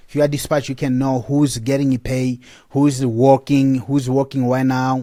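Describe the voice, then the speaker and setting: In a very clean recording with a silent background, a man speaks at a moderate pace and medium pitch, with a dark, mellow tone and monotone, flat intonation. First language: not English (English is fourth language). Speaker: app company representative. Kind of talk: software tutorial. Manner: halting, repetitive.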